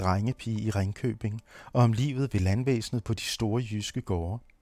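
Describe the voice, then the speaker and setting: A man's normal speaking voice, medium in pitch, at a fairly slow pace with ordinary pitch variation, in a very clean recording with a silent background and a dry, close sound with no echo. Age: 50s. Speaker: anthropologist and radio producer. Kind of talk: scripted narration.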